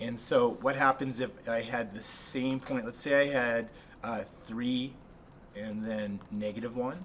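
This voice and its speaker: A man at a medium pitch with fairly even intonation and a fairly slow pace, noticeable background noise behind him. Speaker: math teacher. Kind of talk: tutorial.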